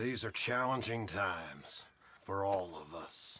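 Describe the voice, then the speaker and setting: The speaker puts on a character voice. The pace is fairly slow. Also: man, fairly low pitch for a man. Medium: video game.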